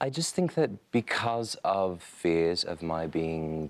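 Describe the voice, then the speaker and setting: The recording is very clean with a silent background. A man speaks in a very deep, low pitch. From Taiwan, Hong Kong, Australia, US. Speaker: fashion designer. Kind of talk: interview.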